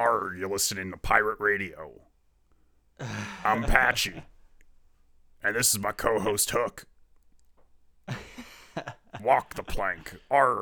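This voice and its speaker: A man puts on a character voice, breaking it up with long, frequent pauses. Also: fairly low pitch for a man, fairly slow pace. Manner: gruff, theatrical.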